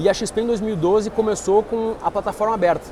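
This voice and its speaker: A man speaks with a southern Brazilian accent over noticeable background noise. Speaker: investment firm partner. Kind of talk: interview. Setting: trade fair stand.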